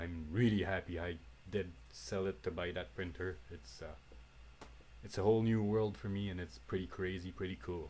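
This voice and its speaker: A man speaks at a very deep, low pitch with lively intonation. He is somewhat breathy and keeps a moderate pace. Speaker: 3D printing hobbyist. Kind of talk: unedited tutorial. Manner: halting, many fillers.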